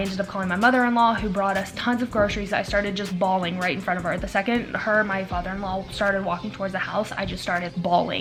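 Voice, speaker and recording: A woman's medium-pitched voice at a very fast pace, with fairly even intonation and music in the background. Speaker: daily vlogger. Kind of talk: casual talk to camera. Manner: fast, rambling.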